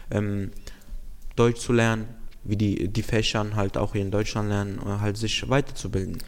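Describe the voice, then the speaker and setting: His fairly low voice moves at a moderate speed with fairly even intonation. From Romania. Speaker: youth program participant hosting segment. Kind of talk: casual interview.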